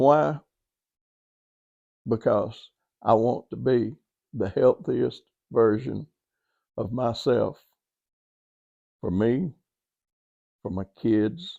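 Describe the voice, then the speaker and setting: A man with a Southern US accent, at a very slow pace with long, frequent pauses, in a dry, close sound with no echo. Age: 70s. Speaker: podcast host and author. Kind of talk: motivational talk. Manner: animated.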